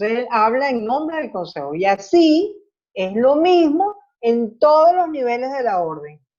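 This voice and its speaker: At a fairly slow pace, a woman with a dark, mellow tone speaks at a high pitch with very wide pitch swings. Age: 70s. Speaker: Secular Franciscan leader giving a talk. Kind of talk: talk answering questions in a group meeting.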